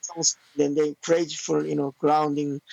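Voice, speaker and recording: This man speaks with a Korean accent. His pace is moderate. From South Korea. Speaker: taekwondo master. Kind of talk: podcast interview. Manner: halting.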